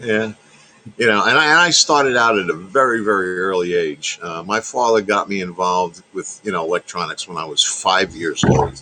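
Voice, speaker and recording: A man with a New York accent speaks at a moderate pace in a fairly low pitch, with lively intonation. Noticeable background noise is present. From New York, Long Island. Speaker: radio technician, ham radio operator. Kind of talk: casual chat. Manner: halting, many fillers.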